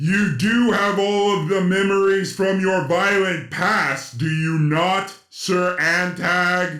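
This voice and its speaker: A man puts on a character voice, pitched high. He delivers it at a very slow pace. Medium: audio drama. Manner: formal, imperious, uses royal "us".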